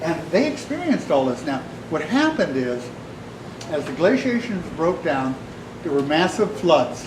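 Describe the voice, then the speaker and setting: Loud and high-pitched, a man speaks at a moderate pace with very wide pitch swings and long, frequent pauses, amid audible room echo and noticeable background noise. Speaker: artist giving a talk. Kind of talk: public talk to an audience. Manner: passionate.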